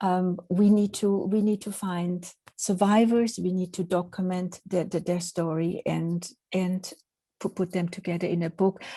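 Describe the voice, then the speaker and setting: In a Swiss accent, a woman talks at a fairly slow pace with medium pitch and monotone, flat intonation. Her voice is somewhat breathy with a dark, mellow tone. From Switzerland. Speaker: professor. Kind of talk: lecture. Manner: halting.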